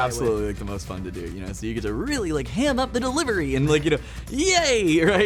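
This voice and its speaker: Very fast speech from a man over music in the background. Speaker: voice actor. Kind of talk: casual talk to camera. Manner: expressive, emotive.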